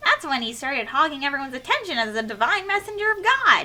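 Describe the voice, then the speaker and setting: A high, put-on character voice at a very fast pace with very wide pitch swings. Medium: game stream. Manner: theatrical, playful.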